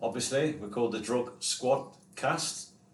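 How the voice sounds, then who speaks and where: A man speaks at a fairly slow pace in a medium pitch. Noticeable background noise and audible room echo surround his voice. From Coventry, English Midlands. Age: 30s. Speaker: podcast host in addiction recovery. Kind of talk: casual chat.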